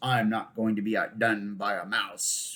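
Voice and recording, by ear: A raspy, put-on character voice moves at a moderate pace. Its intonation stays monotone and flat. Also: man, medium pitch for a man.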